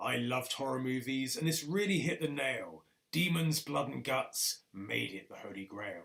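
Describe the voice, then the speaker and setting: Putting on a gruff character voice, a man speaks at a moderate pace and medium pitch with very wide pitch swings and a dramatic tone. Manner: voiceover style, dramatic.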